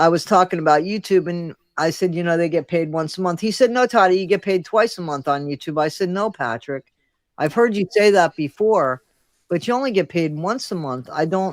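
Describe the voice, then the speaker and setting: A very clean recording with a silent background carries speech at a fairly quick pace. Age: 60s. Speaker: content creator. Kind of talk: casual chat. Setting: live stream.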